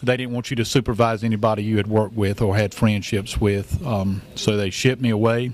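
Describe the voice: Speaking at a moderate pace, the man keeps a fairly low pitch and fairly even intonation.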